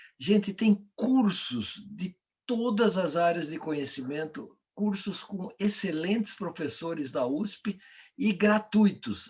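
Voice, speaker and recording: A man's high voice at a very slow pace with lively intonation. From Brazil. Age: 70s. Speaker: coach and author. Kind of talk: online talk Q&A.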